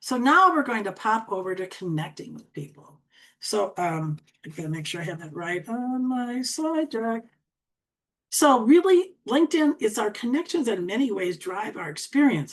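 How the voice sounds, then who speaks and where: Her loudness and pitch both swinging widely, a woman with an Upper Midwest accent speaks at a fairly high pitch. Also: moderate pace. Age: 70s. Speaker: LinkedIn coach. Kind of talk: tutorial.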